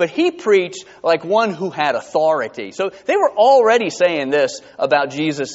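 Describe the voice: What is heard is plain reading aloud.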